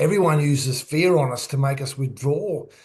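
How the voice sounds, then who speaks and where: With an Australian accent, a man speaks at a moderate pace in a fairly high, somewhat breathy voice. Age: 60s. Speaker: author and former sports coach. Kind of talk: podcast interview.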